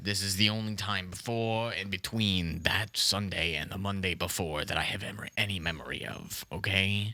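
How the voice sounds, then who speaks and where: In a put-on character voice, a man keeps a moderate pace and fairly even intonation. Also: fairly low pitch for a man. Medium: comedy sketch. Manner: rambling, defensive, repeats "listen" and "okay"; confidently absurd.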